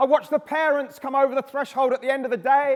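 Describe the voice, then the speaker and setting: Over noticeable background noise, a man with an English accent projects a raised voice at an extremely high pitch and a fairly quick pace. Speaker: behaviour specialist and education speaker. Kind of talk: conference talk. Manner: animated; loud.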